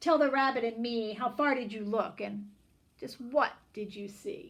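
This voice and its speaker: This is a put-on character voice that is gruff and growling. It sits at a fairly high pitch and keeps a moderate pace. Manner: growling, gruff.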